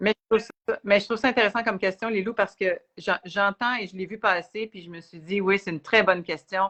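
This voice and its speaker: Against a quiet background, a woman at medium pitch speaks with a bright, sharp tone and ordinary pitch variation, the sound dry and close with no echo. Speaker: spiritual teacher. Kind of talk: live Q&A chat. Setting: livestream video.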